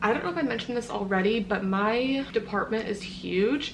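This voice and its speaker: A woman talks fairly quickly as noticeable background noise carries on behind her. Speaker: medical assistant vlogger. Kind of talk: casual vlog narration. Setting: at home.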